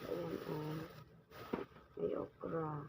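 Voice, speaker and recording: A woman speaks at a very slow pace. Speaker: vlogger. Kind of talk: cooking tutorial. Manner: casual, chatty.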